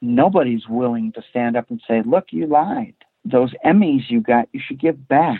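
A man with an American accent, fairly high in pitch, at a moderate pace with very wide pitch swings. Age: 50s. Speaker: former prosecutor. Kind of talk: interview.

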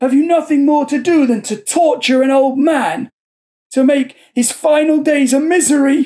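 A man puts on a character voice pitched extremely high for a man, talking at a moderate pace. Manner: blunt, bitter, rough with anger.

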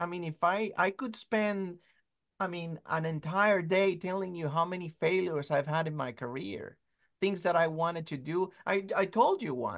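Over a quiet background, a man talks at a moderate pace in a high voice with ordinary pitch variation. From Venezuela. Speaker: children's book and comic author. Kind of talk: interview. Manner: halting, many repetitions.

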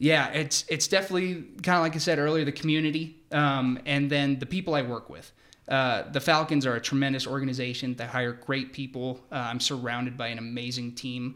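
This man has an ordinary speaking voice with an American accent and a medium pitch. He talks at a fairly quick pace with fairly even intonation. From US Pacific Northwest, Seattle. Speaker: sports ticket sales executive. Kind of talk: casual interview.

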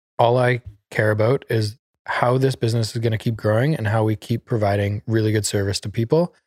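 A man's medium-pitched, plain, everyday voice at a fairly quick pace with fairly even intonation. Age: 30s. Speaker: podcast host. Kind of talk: casual chat.

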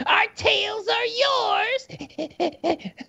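This is a put-on character voice. It sounds squeaky, pitched extremely high. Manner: ratty, scheming.

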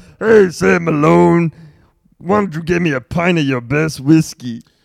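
A man puts on a character voice, pitched fairly high and sounding strained, speaking at a moderate pace. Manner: strained, straining.

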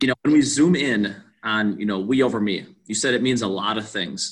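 Speaking with an Upper Midwest accent, a man uses a bright, sharp tone at a medium pitch, with ordinary pitch variation and a moderate pace. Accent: Upper Midwest American. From Wisconsin, Waukesha. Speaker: podcast host and baseball coach. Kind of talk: interview.

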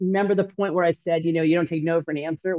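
Energetic in tone, a woman with an American accent talks at a very fast pace. Her pitch is fairly low. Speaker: homebuilding company executive. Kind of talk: interview. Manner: loud.

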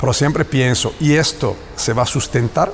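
A man with an Italian accent and medium pitch speaks at a moderate pace with ordinary pitch variation, against noticeable background noise. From northern Italy, Bergamo. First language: Italian (speaking Spanish). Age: 40s. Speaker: plant manager. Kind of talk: interview. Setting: next to a factory floor. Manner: halting.

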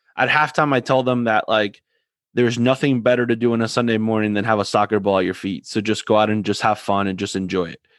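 Against a quiet background, a man speaks very fast at medium pitch with fairly even intonation. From Argentina. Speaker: soccer podcast host and youth soccer coach. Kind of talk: casual chat.

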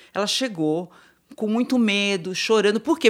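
A woman with a plain, everyday voice talks at a moderate pace with lively intonation. The recording is very clean, its background silent. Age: 50s. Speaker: psychologist and gerontologist. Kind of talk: panel discussion.

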